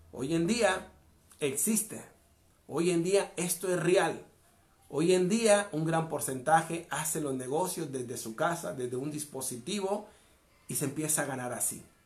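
A man speaks in a high voice at a fairly slow pace, with ordinary pitch variation and audible room echo. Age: 40s. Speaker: motivational speaker. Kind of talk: motivational monologue.

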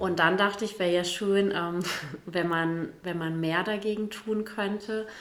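Against noticeable background noise and audible room echo, a woman talks at a medium pitch and a fairly slow pace. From Gütersloh area, East Westphalia, Germany. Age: 40s. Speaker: state politician. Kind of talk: casual chat.

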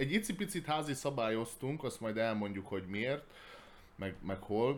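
A man speaks at a moderate pace. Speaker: board game podcast host. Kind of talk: casual chat.

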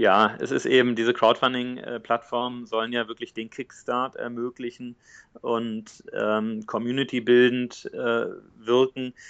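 Here a man speaks at a medium pitch in a monotone, flat delivery. The pace is fairly slow. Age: 30s. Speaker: entrepreneur. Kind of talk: interview.

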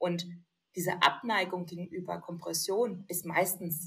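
Speaking fairly slowly, a woman uses a medium pitch with a somewhat breathy sound. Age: young. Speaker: lipedema influencer and compression wear model. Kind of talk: casual chat. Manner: animated.

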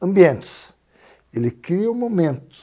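Very slowly, a man speaks in a dark, mellow tone with very wide pitch swings. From Paraná interior, Brazil. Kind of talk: interview conversation.

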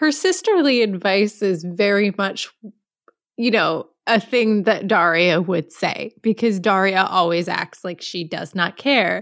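A woman speaks at a fairly slow pace in a medium pitch with ordinary pitch variation. It is an unremarkable speaking voice. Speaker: podcast co-host. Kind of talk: casual podcast chat.

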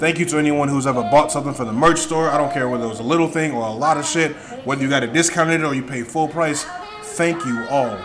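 Amid noticeable background noise and audible room echo, a man with a fairly high pitch talks at a very fast pace with ordinary pitch variation. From Nigerian family. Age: 20s. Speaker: podcast host. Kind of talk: casual monologue. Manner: animated.

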